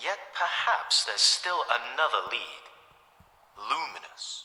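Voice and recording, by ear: In a put-on character voice with a bright, sharp tone, a man speaks slowly at medium pitch with big pitch swings and audible room echo.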